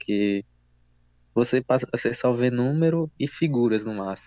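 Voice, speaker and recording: A man speaks at a fairly slow pace in a normal speaking voice, medium in pitch, with a dry, close sound and no echo. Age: 20s. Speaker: engineering student. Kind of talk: casual chat.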